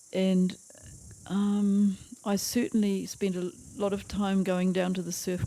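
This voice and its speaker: A woman with a New Zealand accent speaks at a medium pitch in a dark, mellow tone. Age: 80s+. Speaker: retired school teacher. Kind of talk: interview answer. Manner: hesitant.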